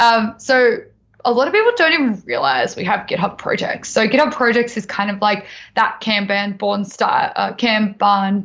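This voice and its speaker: A woman with an Australian accent speaks at a moderate pace in a fairly high voice. Her intonation is lively. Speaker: tech presenter. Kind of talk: tutorial. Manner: casual, filler-heavy.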